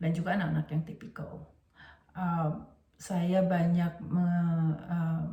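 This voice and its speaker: With audible room echo, a woman speaks at a very slow pace in a dark, mellow, somewhat breathy tone. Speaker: teacher and educational trainer. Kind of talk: lecture. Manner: halting, many fillers.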